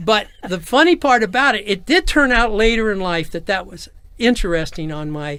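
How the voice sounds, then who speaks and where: A man with an American accent projects a raised voice at a moderate pace, his high pitch swinging very widely and his loudness rising and falling in big swings. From Los Angeles area, California. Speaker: nightlife entrepreneur, navy veteran. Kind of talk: interview, personal storytelling. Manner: halting with false starts.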